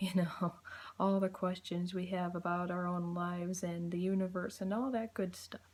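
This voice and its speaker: Quiet speech at a moderate pace. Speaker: YouTuber. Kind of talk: casual vlog monologue. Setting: at home at night.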